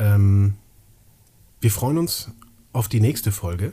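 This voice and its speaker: On a very clean recording with a silent background, a man with a fairly low, dark, mellow voice that is somewhat breathy speaks fairly slowly with ordinary pitch variation. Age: 30s. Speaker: podcast co-host. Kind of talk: casual chat.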